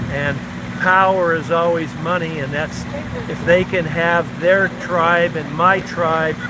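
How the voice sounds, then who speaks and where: A man with an American accent talks at high pitch in monotone, flat intonation. Noticeable background noise and audible room echo run through the clip. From Southern California. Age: 70s. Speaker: retired Navy veteran. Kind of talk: street interview.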